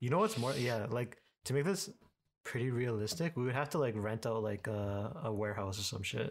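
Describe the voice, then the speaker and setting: A plain, everyday voice from a man, medium in pitch, with a fairly quick pace and lively intonation on a very clean recording with a silent background. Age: 20s. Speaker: product designer and 3D printing specialist. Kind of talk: tutorial; casual chat.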